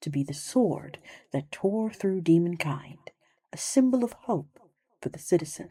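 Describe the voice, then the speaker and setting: Soft-spoken and somewhat breathy, the voice has a dark, mellow tone, moves at a fairly slow pace, and swings very widely in pitch. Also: woman, fairly low pitch for a woman. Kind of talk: sleep story.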